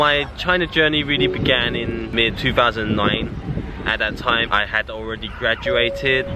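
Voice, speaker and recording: Over noticeable background noise, a man with a British accent speaks at a moderate pace, his medium pitch showing ordinary variation. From England. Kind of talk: casual vlog talk to camera.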